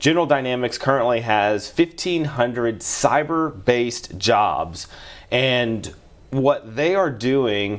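Speaking at a very slow pace, a man uses medium pitch with ordinary pitch variation. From Shreveport, Louisiana. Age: 30s. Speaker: cybersecurity center executive. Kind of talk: podcast interview.

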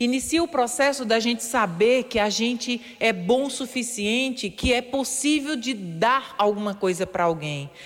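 A woman talks with a high pitch and lively intonation. Her loudness stays very even, and she takes hardly any pauses. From Paraíba, Brazil (rural Areia). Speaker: radio columnist, former dentist. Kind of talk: motivational radio talk.

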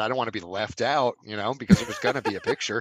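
Speaking very fast in an American accent with lively intonation, the voice comes through dry and close with no echo. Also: man. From New Jersey. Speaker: podcast regular. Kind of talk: casual chat.

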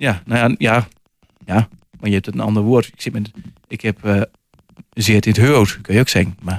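Recorded with a dry, close sound and no echo, a man with a fairly low pitch speaks at a moderate pace with fairly even intonation and long, frequent pauses. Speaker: author. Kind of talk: radio interview.

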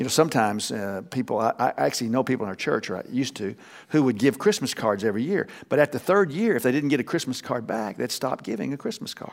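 A man with an American accent, very fast pace and lively intonation on a very clean recording with a silent background. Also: medium pitch for a man. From Texas. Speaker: pastor. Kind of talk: sermon. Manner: halting.

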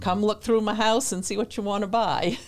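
A woman talks with a New England accent. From New Hampshire. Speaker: missionary. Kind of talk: casual chat.

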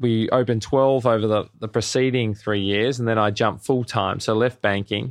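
A man with an Australian accent at a medium pitch, in a monotone, flat intonation with hardly any pauses. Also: moderate pace. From Australia, Melbourne. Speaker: cafe chain founder and CEO. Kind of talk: interview.

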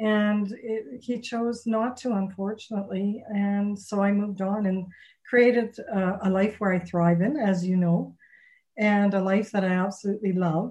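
A woman speaks at a medium pitch in a somewhat breathy voice with a dark, mellow tone. Her pace is fairly slow and her intonation fairly even. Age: 60s. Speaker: relationship coach and author. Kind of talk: casual interview.

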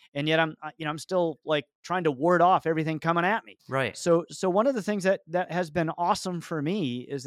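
Recorded with a dry, close sound, no echo and a silent background, a man speaks in a plain, everyday voice at a fairly high pitch. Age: 50s. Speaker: business CEO. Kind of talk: interview.

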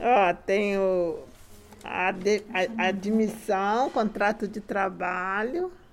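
A woman speaks at a very slow pace. Her medium-pitched voice keeps fairly even intonation. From Rio de Janeiro, Brazil (Guadalupe). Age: 70s. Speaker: retired factory worker. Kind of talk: casual interview.

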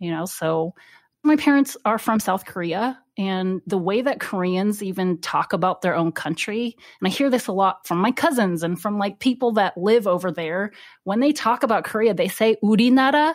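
A woman with a General American accent and an ordinary speaking voice talks at a moderate pace and medium pitch, her intonation lively, in a very clean recording with a silent background. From United States. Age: 30s. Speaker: licensed therapist. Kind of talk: interview.

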